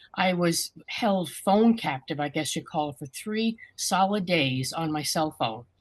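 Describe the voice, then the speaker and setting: Fairly slow yet with hardly any pauses, a woman speaks in a fairly low, somewhat breathy voice. Her intonation is lively. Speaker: scam victim. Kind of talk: testimony. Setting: video call.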